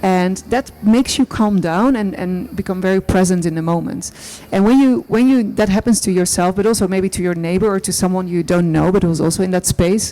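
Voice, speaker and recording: A woman speaks at a fairly quick pace with a Dutch accent. Her medium-pitched voice shows ordinary pitch variation. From Netherlands. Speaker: artist. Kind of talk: panel discussion. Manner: halting.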